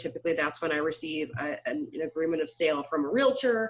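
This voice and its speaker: A woman talks at a fairly quick pace. Her pitch sits fairly low. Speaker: closing attorney. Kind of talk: webinar presentation. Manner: fast; animated.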